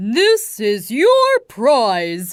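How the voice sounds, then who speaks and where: This put-on character voice sounds female and sits at a fairly high pitch. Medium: read story. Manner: bossy, declaring.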